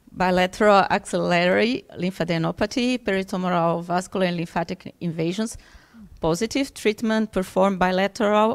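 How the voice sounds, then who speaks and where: A woman at a moderate pace and medium pitch with ordinary pitch variation, against a quiet background. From Brazil. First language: Portuguese (speaking Russian). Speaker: physiotherapist and Pilates trainer; Pilates trainer. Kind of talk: conference talk in English with interpretation. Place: hall. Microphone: podium.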